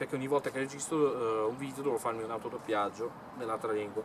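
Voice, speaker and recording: Noticeable background noise runs under a man talking at a very fast pace with ordinary pitch variation. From northern Italy, Milan. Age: 20s. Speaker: YouTuber, bell enthusiast. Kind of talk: monologue to camera. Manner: halting.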